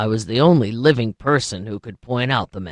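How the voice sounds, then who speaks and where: A man's raspy, put-on character voice at medium pitch and a fairly quick pace, with big swings in loudness and a dry, close sound with no echo. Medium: read story. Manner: measured, plaintive.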